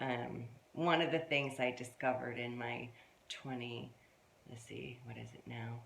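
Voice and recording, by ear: A woman speaks with vocal fry and a fairly bright tone. Audible room echo surrounds her voice.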